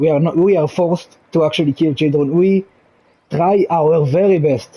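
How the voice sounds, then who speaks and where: A man talks in a dark, mellow tone at fairly high pitch, with an Israeli accent. His loudness is very even and his intonation fairly even. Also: moderate pace. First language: Hebrew. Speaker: gaming channel creator. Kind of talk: casual explanatory monologue. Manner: halting, many restarts; calm.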